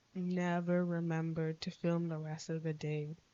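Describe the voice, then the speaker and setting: Her tone relaxed, a woman speaks at a moderate pace in a fairly low pitch with monotone, flat intonation. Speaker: art vlogger. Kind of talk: casual chat. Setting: speaking to camera at home. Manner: low volume, relaxed; casual.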